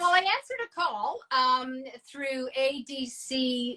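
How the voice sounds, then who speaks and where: A high-pitched woman speaks in a raised, projected voice. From Ontario, Canada (rural Dundas). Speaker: abstract artist. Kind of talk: casual chat. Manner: fast.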